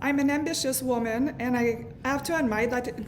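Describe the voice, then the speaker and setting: A woman's high-pitched, flat monotone with audible room echo. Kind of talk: prepared testimony speech.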